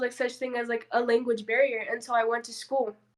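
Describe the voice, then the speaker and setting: A woman speaks with a Spanish accent at a high pitch. Her pace is fairly quick. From southern California and Mexico. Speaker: podcast guest. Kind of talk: casual chat.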